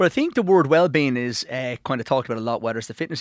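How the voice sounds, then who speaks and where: On a very clean recording with a silent background, a man with an Irish accent talks at a very fast pace. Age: 40s. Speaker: financial adviser and author. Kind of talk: radio interview.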